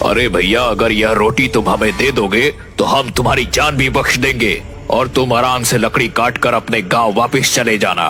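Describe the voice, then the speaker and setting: In a cartoonish character voice, a man talks at medium pitch and a moderate pace while clear music plays behind him. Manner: scheming, brutish.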